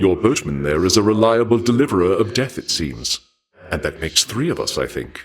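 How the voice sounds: In a put-on character voice, a man speaks at a moderate pace with a low pitch, a slightly husky edge and big pitch swings.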